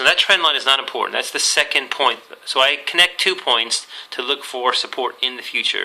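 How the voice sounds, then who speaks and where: A man speaks in a fairly high pitch over noticeable background noise. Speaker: trading educator. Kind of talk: tutorial.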